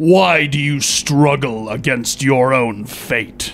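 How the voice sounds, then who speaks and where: Using a put-on character voice at a medium pitch, a man speaks at a very slow pace amid clear background noise. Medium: audio drama. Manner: solemn, detached.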